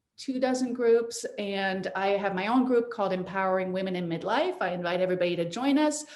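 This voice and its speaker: A woman with a French accent talks at a fairly quick pace with ordinary pitch variation and audible room echo. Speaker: midlife life coach. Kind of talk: interview. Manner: animated.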